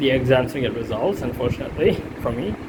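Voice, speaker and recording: Clear background noise behind a man's fairly quick speech. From India. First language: not English. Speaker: student. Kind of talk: self-assessment monologue. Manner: halting, many fillers.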